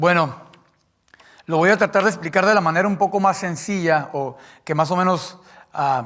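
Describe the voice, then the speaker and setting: With a non-native accent, a man talks at a moderate pace and a high pitch, using ordinary pitch variation and long, frequent pauses. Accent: speaks Spanish imperfectly, a bit clipped. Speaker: preacher. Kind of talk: sermon. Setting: church. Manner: halting.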